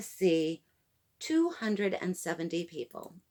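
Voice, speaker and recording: A woman speaks loudly at a fairly slow pace, her pitch swinging very widely. The recording is very clean, with a silent background. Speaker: lifestyle vlogger. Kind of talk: storytime monologue. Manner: animated.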